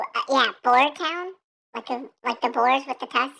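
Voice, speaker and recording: A female-sounding voice does a put-on character voice with a high pitch at a moderate pace. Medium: actual play. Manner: hesitant, rambling, halting.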